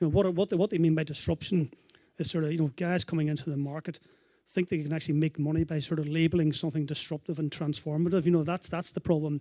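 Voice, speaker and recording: In a very clean recording with a silent background, a man speaks very fast in a dark, mellow tone with monotone, flat intonation. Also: fairly high pitch for a man, dry, close sound with no echo. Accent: Northern Irish. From Northern Ireland. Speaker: consumer finance advocate, panelist. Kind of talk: panel discussion.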